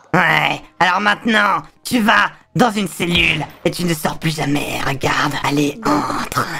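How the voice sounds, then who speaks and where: Using a put-on character voice, a man speaks with a high pitch at a fairly slow pace. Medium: game stream. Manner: threatening, mocking.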